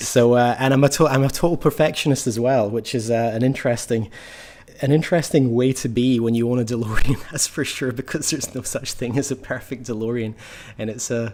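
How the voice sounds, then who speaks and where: A man with a Scottish accent, fairly quick in pace and fairly even in intonation. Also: medium pitch for a man. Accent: Scottish, slightly tamed. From Scotland, Ayrshire. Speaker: car enthusiast and designer. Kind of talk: casual interview. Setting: call from garage.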